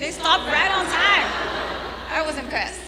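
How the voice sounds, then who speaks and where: The voice is raised and projected, moving at a fairly quick pace. Audible room echo and noticeable background noise accompany it. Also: woman. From Brazil. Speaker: comedian. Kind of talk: stand-up.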